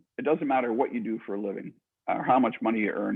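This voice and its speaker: A man talks with a Canadian accent. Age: 60s. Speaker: author and entrepreneur. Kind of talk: interview. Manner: halting, frequent repetitions.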